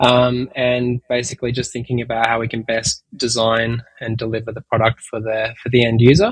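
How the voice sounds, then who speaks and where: Speaking with an Australian accent, a man uses a medium pitch and a somewhat breathy, monotone delivery with flat intonation. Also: moderate pace. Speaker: tech company executive. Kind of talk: interview. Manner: hesitant, many fillers.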